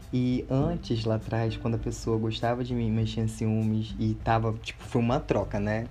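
With audible room echo and music in the background, a man keeps to a moderate pace. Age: 20s. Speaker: podcast host. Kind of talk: personal storytelling monologue. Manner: casual, chatty with laughs.

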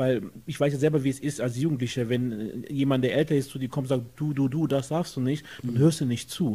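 Hardly pausing, a man speaks at a medium pitch in a dark, mellow tone that is somewhat breathy, with fairly even intonation. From Germany, Jülich. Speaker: guest, political supporter. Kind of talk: casual interview. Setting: friend's apartment.

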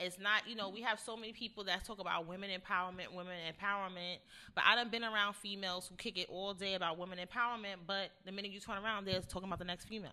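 The speech runs at a very fast pace with hardly any pauses, a bright, sharp tone, monotone, flat intonation and big swings in loudness. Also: woman, medium pitch for a woman. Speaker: radio show co-host. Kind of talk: casual chat.

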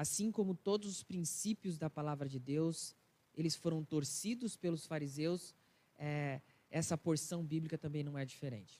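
A man's fairly high-pitched voice has a dark, mellow tone. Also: ordinary pitch variation, moderate pace. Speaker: pastor. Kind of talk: sermon. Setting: church.

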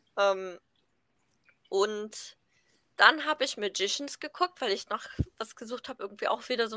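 Bright and sharp in tone, a woman speaks at a moderate pace with ordinary pitch variation, long, frequent pauses and big swings in loudness, in a dry, close sound with no echo. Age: 20s. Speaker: podcast co-host, university student. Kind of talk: casual chat.

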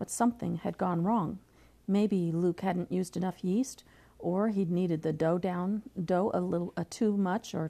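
Text read aloud plainly

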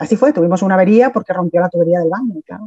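With a dark, mellow tone, a woman speaks at a medium pitch with ordinary pitch variation. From Asturias, Spain (from age 11; born in Mexico). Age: 50s. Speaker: teacher. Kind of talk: interview.

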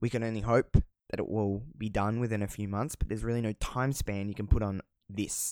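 A man with an Australian accent speaks with fairly even intonation. The sound is dry and close with no echo, in a very clean recording over a silent background. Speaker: podcast host. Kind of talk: solo casual monologue. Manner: casual, rambling, swears often.

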